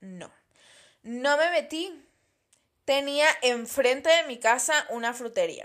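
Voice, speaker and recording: Her pitch is high for a woman. She speaks at a very slow pace. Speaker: podcast host. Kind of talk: casual solo podcast monologue. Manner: relaxed.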